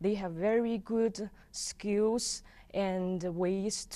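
A woman in a Chinese accent speaks with a dark, mellow tone and fairly even intonation. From China. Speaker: visiting scholar, English teacher. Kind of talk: interview. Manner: hesitant, laughs often. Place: studio. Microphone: lapel.

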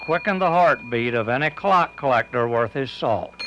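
Background noise is noticeable as a man talks with lively intonation. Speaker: TV feature reporter. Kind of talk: local TV feature narration.

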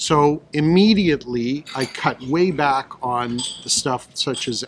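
There is light background noise. A man's voice comes through it. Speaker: guest. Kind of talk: interview answer. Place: hall. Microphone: studio mic.

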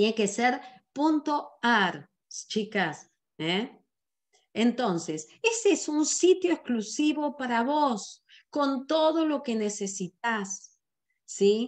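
Against a quiet background, a woman speaks at a very slow pace in a high voice with very wide pitch swings. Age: 60s. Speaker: sales director and business trainer. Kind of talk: online business training presentation. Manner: animated.

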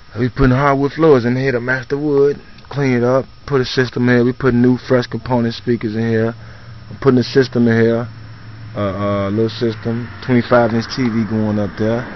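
Over light background noise, a man speaks at a moderate pace with monotone, flat intonation and a dry sound with no echo. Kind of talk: casual vlog chat. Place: street. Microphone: phone near.

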